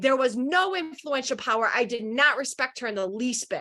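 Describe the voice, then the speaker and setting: A loud, animated woman's voice, high-pitched, with very wide pitch swings and a moderate pace. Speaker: leadership coach and conference speaker. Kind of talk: presentation talk.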